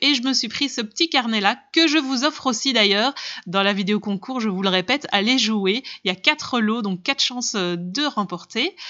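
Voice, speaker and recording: Here a woman speaks in an animated tone with lively intonation. Her pitch is fairly high and her pace moderate. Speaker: craft and haul vlogger. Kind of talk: product haul video.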